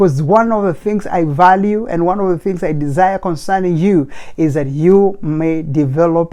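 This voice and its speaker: With a non-native accent, a man speaks in a high pitch with ordinary pitch variation. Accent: non-native accent, noticeable. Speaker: motivational speaker. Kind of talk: motivational talk. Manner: fast; emphatic, preacher-like.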